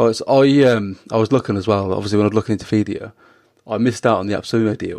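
In a British accent, a man talks at a very fast pace with a medium pitch and fairly even intonation. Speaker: podcast host. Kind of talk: interview.

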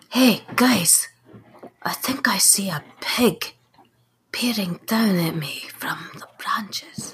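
Using a put-on character voice, a female-sounding speaker talks raspily at a fairly high pitch for a woman and a very slow pace, with long, frequent pauses. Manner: blunt, salty.

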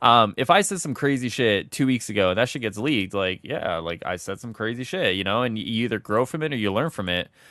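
An unremarkable speaking voice from a man at medium pitch, fairly quick pace and lively intonation. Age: 20s. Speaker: gaming podcast co-host. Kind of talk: casual chat.

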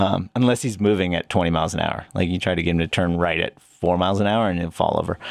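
This man talks at a very fast pace with an American accent. He leaves hardly any pauses. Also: fairly even intonation. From Pennsylvania, US. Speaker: para-cycling team coach, army veteran. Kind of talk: casual interview. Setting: studio.

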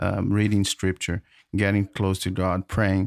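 In a dry, close recording with no echo, the speaker talks with a non-native accent. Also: man, very clean recording, silent background. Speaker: podcast co-host. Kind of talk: casual chat.

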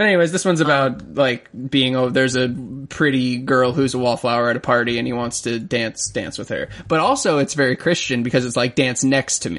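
In an American accent, a man with an unremarkable speaking voice talks at a fairly quick pace, his medium pitch showing ordinary variation. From Florida. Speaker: music podcast co-host. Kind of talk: casual chat.

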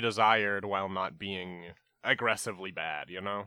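At a moderate pace, this man speaks with a Canadian accent. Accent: Canadian, close to Minnesota. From Canada. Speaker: podcast host. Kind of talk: casual comedic chat.

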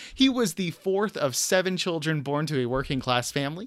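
Pitched fairly high, a man speaks in an animated tone with ordinary pitch variation at a moderate pace. The recording is very clean, with a silent background. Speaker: podcast host. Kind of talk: casual comedic chat. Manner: animated, jokey.

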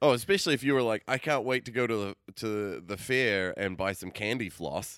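A man with an American accent and an ordinary speaking voice, medium in pitch and fairly quick in pace, in a very clean recording with a silent background. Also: ordinary pitch variation. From outside the US. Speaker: podcast co-host. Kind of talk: casual chat.

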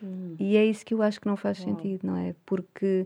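A woman speaks at a medium pitch and a fairly quick pace. Her tone is dark and mellow, and the background is quiet. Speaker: communication coach. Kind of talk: interview.

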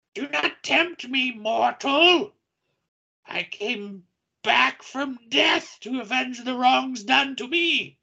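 In a put-on character voice, a woman talks at a very slow pace and a high pitch, with a hissing quality. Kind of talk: archaic, formal. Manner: hissing, menacing.

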